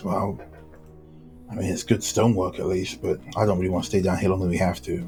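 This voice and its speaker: A man's raspy, put-on character voice, very deep and low, in a very fast delivery broken by long, frequent pauses, with music in the background. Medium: actual play. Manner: casual, plain-spoken.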